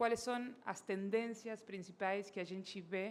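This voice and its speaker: A woman with a Spanish accent talks at a very slow pace. Her pitch is medium and her intonation fairly even. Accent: Spanish-accented Portuguese, non-native. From Argentina. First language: Spanish (speaking Portuguese). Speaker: company director and speaker. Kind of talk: conference talk. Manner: halting, many fillers.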